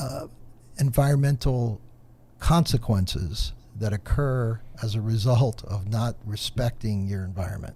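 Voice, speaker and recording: Somewhat breathy male voice, medium in pitch, dark and mellow in tone, with ordinary pitch variation. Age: 60s. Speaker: environmental professional. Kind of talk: podcast discussion.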